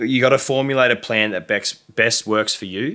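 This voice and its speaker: A man speaks with an Australian accent in a bright, sharp tone. The recording is very clean, with a silent background. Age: 20s. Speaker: content creator. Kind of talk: casual chat. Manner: fast.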